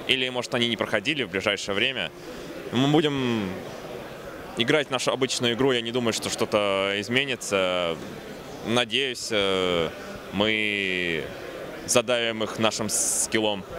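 A man speaks at a fairly slow pace with long, frequent pauses and ordinary pitch variation. The sound is dry with no echo, though there is noticeable background noise. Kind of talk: interview answer. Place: hall. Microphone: handheld.

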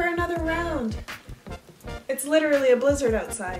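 Very wide pitch swings over clear music in the background. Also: woman. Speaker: vlogger. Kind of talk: casual talk to camera. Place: home room. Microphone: camera far.

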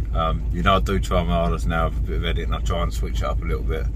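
Amid noticeable background noise, a man with a very deep, low pitch talks at a fairly quick pace, the sound dry and free of echo. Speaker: angler vlogger. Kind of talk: casual vlog chat. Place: car. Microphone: phone near.

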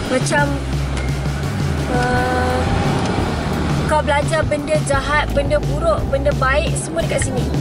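A woman at a fairly slow pace over loud music in the background. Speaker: vlogger. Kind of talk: casual vlog chat. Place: car. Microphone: phone near.

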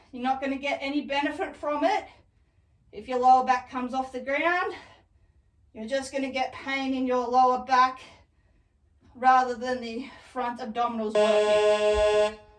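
A woman with a high pitch speaks at a moderate pace with ordinary pitch variation, big swings in loudness, and long, frequent pauses. Audible room echo sits over a quiet background. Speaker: fitness instructor. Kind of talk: tutorial. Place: home room. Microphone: camera far.

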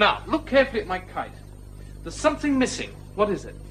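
A man speaks with music in the background. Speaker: visiting teacher character in a drama. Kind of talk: scripted classroom lesson. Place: classroom.

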